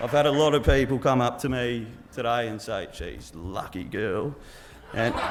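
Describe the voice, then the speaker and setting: A man with medium pitch and ordinary pitch variation talks at a moderate pace, with audible room echo and noticeable background noise behind him. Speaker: groom giving wedding speech. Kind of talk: wedding speech. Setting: wedding reception with audience. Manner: loud; halting, lots of ums and repeats.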